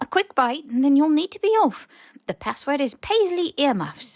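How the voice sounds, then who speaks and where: In a put-on character voice, the speaker sounds squeaky and high-pitched, moving at a moderate pace. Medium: read story. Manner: servile, broken grammar.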